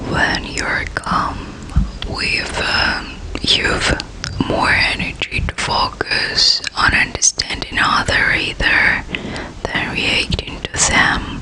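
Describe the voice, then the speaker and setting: Someone whispers at a very slow pace. Noticeable background noise sits behind the voice. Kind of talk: ASMR whisper reading of self-help text. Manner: whispered.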